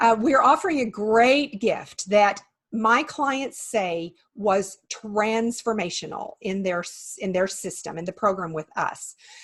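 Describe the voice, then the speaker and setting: A woman with an American accent, somewhat breathy, fairly high in pitch, at a fairly slow pace. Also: lively intonation. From West Texas. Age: 50s. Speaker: certified health coach. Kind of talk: interview.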